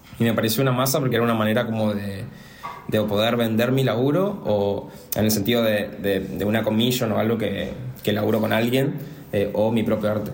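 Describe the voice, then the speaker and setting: Fairly quick speech from a man at medium pitch, fairly even in intonation, with audible room echo and noticeable background noise. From Argentina, Resistencia, Chaco. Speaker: visual artist. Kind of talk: casual interview. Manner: halting, repeats words.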